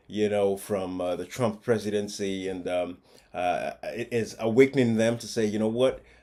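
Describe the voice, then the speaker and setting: At a moderate pace, a man speaks with a fairly low pitch, a dark, mellow tone, and fairly even intonation. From Africa. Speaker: commentary video host. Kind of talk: casual monologue commentary. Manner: hesitant, many filler words.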